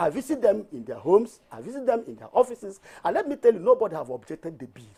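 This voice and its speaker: A man with a Nigerian accent talks very fast in a high, dark and mellow voice, his pitch swinging very widely. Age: 60s. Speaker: tax reform campaigner. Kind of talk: TV panel discussion. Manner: animated; halting.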